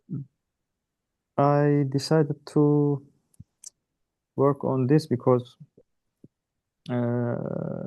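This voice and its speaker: With a Turkish accent, a man speaks at a very slow pace with long, frequent pauses, a fairly high pitch, fairly even intonation and a dark, mellow tone. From Turkey. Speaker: startup founder. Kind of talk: self-introduction. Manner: halting.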